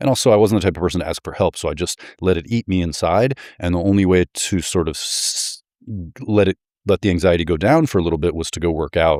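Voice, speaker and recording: Very fast and very deep, a man with an American accent talks with ordinary pitch variation in a dry, close sound with no echo, on a very clean recording with a silent background. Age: 40s. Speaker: former professional basketball player. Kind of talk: casual interview.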